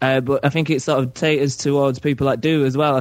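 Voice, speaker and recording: A speaker with a northern English accent moves at a fairly quick pace, keeping the intonation fairly even. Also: man. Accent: British, northern English. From Carlisle, northern England near the Scottish border. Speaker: podcast caller.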